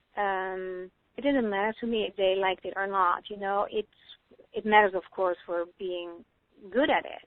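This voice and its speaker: The speaker has a Dutch accent and fairly even intonation. Loudness swings a lot, and pauses are long and frequent. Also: woman, medium pitch for a woman. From Netherlands. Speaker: psychotherapist. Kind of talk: interview. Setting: phone call. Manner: fast.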